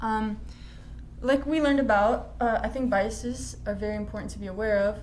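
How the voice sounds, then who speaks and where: Spoken at a fairly quick pace with an American accent, the voice carries audible room echo. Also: woman. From US. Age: 20s. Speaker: student. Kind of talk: class presentation. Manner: casual with many fillers.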